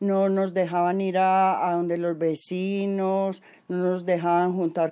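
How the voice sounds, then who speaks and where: At a very slow pace, a woman speaks in a monotone, flat way. Her medium-pitched voice has a dark, mellow tone. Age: 60s. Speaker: rural woman interviewee. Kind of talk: oral history testimony.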